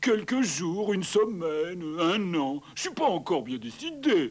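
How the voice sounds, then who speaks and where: In a cartoonish character voice, a man speaks with a high pitch and a cheerful tone at a fairly slow pace. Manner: easygoing, cheerful.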